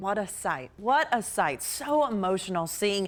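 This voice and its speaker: The voice moves at a moderate pace with lively intonation. Music plays in the background. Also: woman. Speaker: news anchor. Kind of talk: TV news anchoring.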